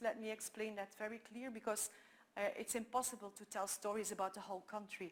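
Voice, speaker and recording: A woman talks at a fairly high pitch with fairly even intonation. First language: Dutch. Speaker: photographer and documentary maker. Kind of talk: conference talk. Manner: halting, many fillers.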